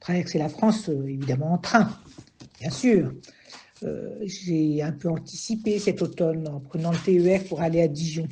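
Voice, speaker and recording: A woman speaks at a fairly low pitch with ordinary pitch variation. Her tone is dark and mellow, and somewhat breathy. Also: fairly slow pace. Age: 60s. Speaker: retiree, train passenger. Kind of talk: testimony.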